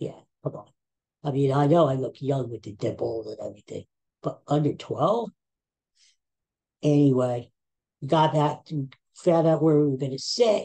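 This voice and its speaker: The speaker has a Philadelphia accent and a moderate pace. Long pauses come often. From Philadelphia, US. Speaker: podcaster. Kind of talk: casual chat. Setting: at home.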